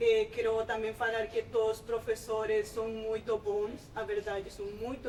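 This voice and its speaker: Fairly slow speech with fairly even intonation amid noticeable background noise. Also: woman. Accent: Spanish. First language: Spanish (speaking Portuguese). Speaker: master's student. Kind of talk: welcome speech to new students. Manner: halting.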